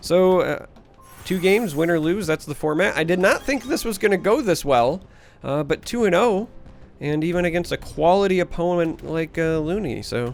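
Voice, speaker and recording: Over music in the background, a man with an American accent speaks at a moderate pace, high in pitch with ordinary variation. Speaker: gaming YouTuber. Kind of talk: gameplay commentary. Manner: casual, with filler hesitations.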